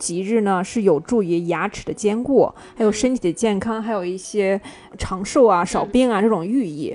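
Noticeable background noise sits behind a woman of medium pitch. She talks at a moderate pace with ordinary pitch variation. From Shandong, China. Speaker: podcast guest. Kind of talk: casual chat.

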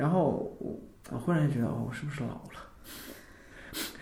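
The speech moves at a moderate pace with ordinary pitch variation. Audible room echo and noticeable background noise surround it. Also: man. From Northeast China. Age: 30s. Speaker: amateur band member and office worker. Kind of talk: casual interview chat.

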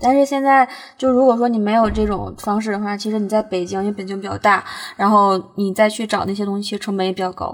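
A woman talks at a very fast pace. Her medium pitch holds a fairly even intonation. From Northeast China. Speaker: food blogger. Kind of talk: casual chat. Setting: in a car.

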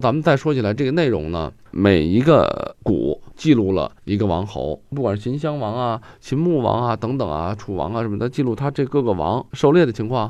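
A man speaks at a medium pitch with very wide pitch swings and vocal fry. His pace is moderate, with hardly any pauses. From Guangdong, China. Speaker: calligrapher. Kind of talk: casual discussion.

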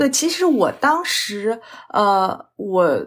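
Her pitch swinging very widely, a woman speaks very slowly in a fairly high voice. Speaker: registered dietitian, diabetes educator. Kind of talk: interview conversation.

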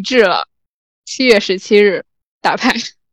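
The woman's voice sits fairly high and shows ordinary pitch variation. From rural China. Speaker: podcast host. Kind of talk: casual chat.

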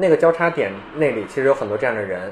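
Talking at a very fast pace, the man keeps ordinary pitch variation while noticeable background noise carries on. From Beijing, China. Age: 30s. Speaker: skateboarder and skateboarding researcher. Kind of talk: casual chat.

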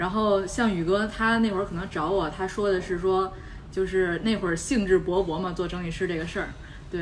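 A woman speaks at a medium pitch with ordinary pitch variation. Room echo is audible. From Beijing. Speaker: podcast host. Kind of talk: casual chat.

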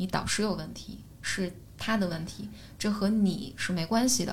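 Audible echo from the room surrounds a woman as she speaks. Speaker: podcaster and psychology platform founder. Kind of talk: casual chat. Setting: studio.

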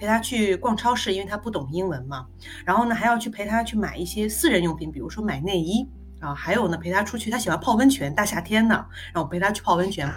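Music plays in the background as a woman with medium pitch talks at a very fast pace with lively intonation. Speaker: marketing professional, former international student. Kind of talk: casual interview, personal story.

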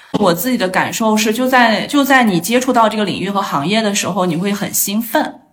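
A woman's fairly high-pitched voice at a fairly quick pace, with ordinary pitch variation, hardly any pauses and audible room echo. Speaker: astrologer, former user research expert. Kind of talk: casual interview chat. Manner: hesitant, many filler sounds.

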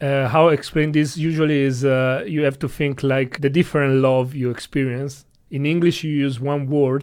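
With an Italian accent, a man talks at a fairly high pitch and a moderate pace, his intonation monotone and flat, with hardly any pauses. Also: quiet background. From Italy. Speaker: rope bondage practitioner and instructor. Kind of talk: interview.

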